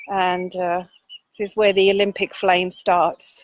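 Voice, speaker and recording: A woman speaking at a fairly slow pace. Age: 60s. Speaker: activist. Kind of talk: casual chat. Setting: outdoors.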